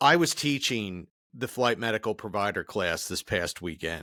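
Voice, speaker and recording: In a Philadelphia accent, a man speaks at a fairly slow pace and medium pitch with a bright, sharp tone, the sound dry and close with no echo on a very clean recording with a silent background. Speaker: podcast host, flight medic instructor. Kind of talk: podcast interview.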